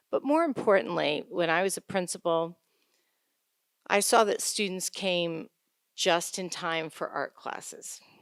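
Speaking fairly slowly with an American accent, a woman with an unremarkable speaking voice keeps a medium pitch with ordinary variation in a very clean recording with a silent background and a dry, close sound with no echo. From upstate New York. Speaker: school board candidate. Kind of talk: candidate forum statement. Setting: town-hall forum with audience.

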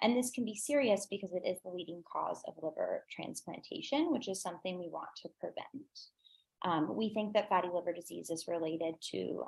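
A woman speaks at a moderate pace with lively intonation and vocal fry. The background is quiet. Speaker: pediatric endocrinology fellow. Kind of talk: conference presentation. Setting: video call. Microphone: video call.

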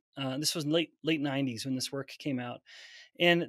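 A man's voice, dry with no echo, carries ordinary pitch variation against a quiet background. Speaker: scientist and professor. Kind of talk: interview. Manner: articulate. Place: office.

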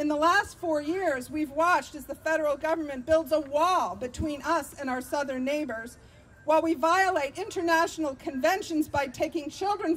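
Shouting with an American accent, a woman uses a high pitch, a warm tone and ordinary pitch variation at a moderate pace with hardly any pauses. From Vermont, US. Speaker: activist and political candidate. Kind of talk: impassioned outdoor rally speech against militarism, stacking budget figures. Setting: rally with live audience. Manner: fiery and rousing, repeating lines like 'It's monstrous' for emphasis; warm and engaged with the crowd, laughing at their shouts. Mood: earnest, persuasive. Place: street. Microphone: podium.

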